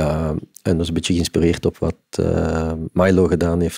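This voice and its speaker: A man's very deep, low voice with a dark, mellow tone, at a moderate pace, dry with no echo, over a quiet background. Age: 50s. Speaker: concert venue executive; podcast guest. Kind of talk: interview. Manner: halting. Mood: reflective, calm. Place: studio. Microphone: studio mic.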